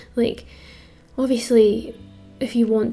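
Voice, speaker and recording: A woman speaks in a Scottish accent. Music plays in the background. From Scotland. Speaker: amateur artist and video creator. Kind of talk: casual voiceover tutorial. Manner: casual with many fillers.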